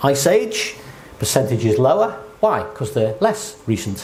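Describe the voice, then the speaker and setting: A man's pitch rises and falls very widely as he talks at a fairly slow pace. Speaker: lecturer on creation science. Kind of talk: lecture. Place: hall.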